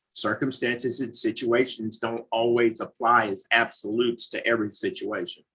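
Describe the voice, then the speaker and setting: The speaker has a Southern US accent and talks at a moderate pace with fairly even intonation and hardly any pauses. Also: man, medium pitch for a man. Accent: US South. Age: 40s. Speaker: recovering addict, mission manager. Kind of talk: interview conversation.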